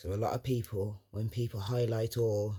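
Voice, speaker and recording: A man's somewhat breathy, dark, mellow voice with a London accent, in a very clean recording with a silent background. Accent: London Multicultural English. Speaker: motivational vlogger. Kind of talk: motivational monologue. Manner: animated.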